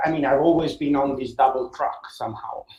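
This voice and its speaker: A man's fairly high, monotone, flat voice in an Italian accent. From Italy, Rome. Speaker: science journalist. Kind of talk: interview. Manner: halting, many fillers.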